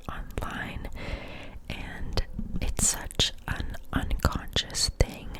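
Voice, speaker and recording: A woman whispers, with noticeable background noise around her. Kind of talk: ASMR whisper ramble about psychology. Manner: whispered, friendly, chatty.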